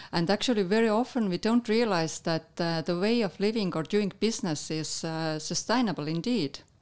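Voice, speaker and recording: With an Estonian accent, a woman speaks at medium pitch and a moderate pace. She hardly pauses at all. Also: ordinary pitch variation. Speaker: national tourism head. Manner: halting.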